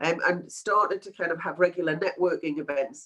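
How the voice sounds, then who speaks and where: Speaking at a fairly quick pace, a woman uses a fairly low pitch. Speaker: PMO consultant and webinar presenter. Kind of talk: webinar presentation. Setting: online webinar, cameras off. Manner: casual, filler-heavy.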